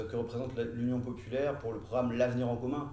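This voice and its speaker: A man is speaking. There is audible room echo. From France (lived in French Polynesia and the Antilles). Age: 30s. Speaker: law and economics teacher, political activist. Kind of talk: interview. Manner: hesitant, many filler sounds.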